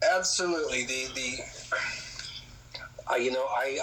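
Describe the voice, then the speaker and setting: Noticeable background noise fills the recording. Through it, a man speaks. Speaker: musician. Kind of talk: interview chat. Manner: halting, filler-heavy.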